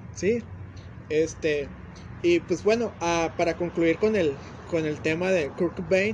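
A high-pitched man's voice, very slow, with long, frequent pauses and ordinary pitch variation. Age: 20s. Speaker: podcast co-host. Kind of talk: casual chat.

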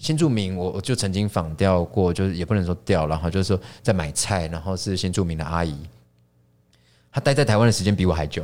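Very fast speech from a man with a very deep, low pitch and a Taiwanese accent, on a very clean recording with a silent background. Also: ordinary pitch variation. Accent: Taiwanese Mandarin. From Taiwan, Taipei. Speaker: chef and restaurant founder. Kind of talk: casual interview. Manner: halting, frequent repetitions.

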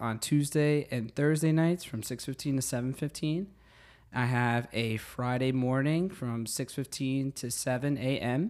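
With a New Jersey accent, a man speaks fairly slowly at a medium pitch with ordinary pitch variation. The recording is very clean, with a silent background. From New Jersey (Secaucus). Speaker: fitness instructor and teacher. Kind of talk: casual interview. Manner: animated.

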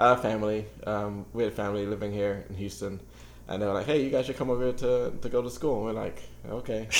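A man's fairly low voice at a very fast pace, with fairly even intonation and audible room echo. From England, London (a year in Nigeria as a child). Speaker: writer. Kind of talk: casual interview. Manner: halting.

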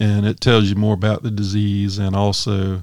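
A man with a Southern US accent speaks at a fairly low pitch and a fairly slow pace, his intonation fairly even. The recording is very clean with a silent background, and the sound is dry and close with no echo. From US South, South Carolina (Sumter County). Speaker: outdoors podcast host. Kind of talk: solo podcast monologue. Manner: casual, with frequent fillers.

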